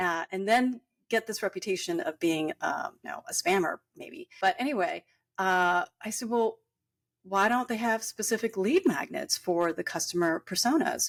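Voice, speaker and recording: A woman speaks at a moderate pace in a fairly high voice, with very wide pitch swings and big swings in loudness. The sound is dry and close with no echo, on a very clean recording with a silent background. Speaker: business coach and marketing agency founder. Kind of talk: interview. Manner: halting, many fillers.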